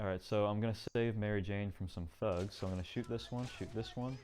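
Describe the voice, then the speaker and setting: With music in the background, a man talks at a fairly quick pace with fairly low pitch and fairly even intonation. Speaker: speedrunner. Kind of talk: gameplay commentary. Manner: fast.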